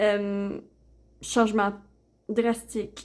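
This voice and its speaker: At a very slow pace, the voice carries a dark, mellow tone and fairly even intonation. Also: woman. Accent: Quebec. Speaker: oracle card reader, YouTuber. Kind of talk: product unboxing and card reading. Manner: hesitant, many fillers.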